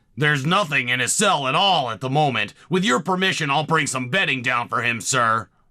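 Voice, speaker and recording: With lively intonation, a cartoonish character voice rattles along at a fairly quick pace with hardly any pauses. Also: man, fairly high pitch for a man. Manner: servile.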